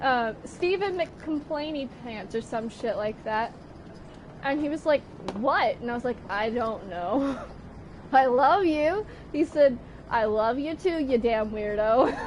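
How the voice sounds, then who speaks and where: Over noticeable background noise, a woman with a high voice and lively intonation talks at a very slow pace. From Australia. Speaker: gaming streamer. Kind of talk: casual chat. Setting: live stream with video call.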